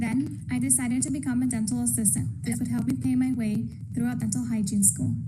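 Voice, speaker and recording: A woman speaks with a very deep, low pitch and lively intonation. Her loudness stays very even, and the room echo is audible. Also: fairly quick pace. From El Salvador. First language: Spanish. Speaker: dental hygienist. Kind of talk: prepared career talk.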